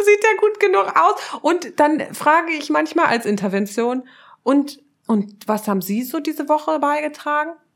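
Very wide pitch swings delivered at a moderate pace. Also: woman, high pitch for a woman. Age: 30s. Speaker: social psychologist and relationship researcher. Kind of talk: casual interview conversation.

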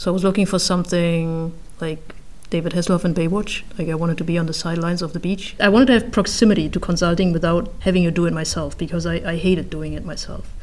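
With a German accent, a woman talks at a very fast pace and fairly even intonation, with audible room echo. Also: fairly low pitch for a woman. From northeast Germany, rural Baltic coast. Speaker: corporate procurement manager. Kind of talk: interview.

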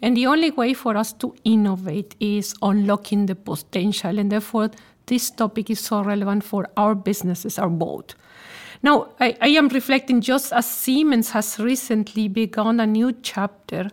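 With a Spanish accent, a woman talks at a moderate pace in a fairly high pitch and ordinary pitch variation. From Mexico. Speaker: corporate executive and podcast host. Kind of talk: corporate podcast interview.

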